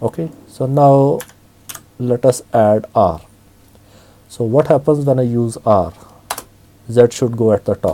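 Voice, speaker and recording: The speech moves at a fairly slow pace, with long, frequent pauses and ordinary pitch variation. Noticeable background noise is present. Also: man, medium pitch for a man. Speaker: Linux tutorial instructor. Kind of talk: screen-recorded software tutorial. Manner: casual, hesitant with fillers.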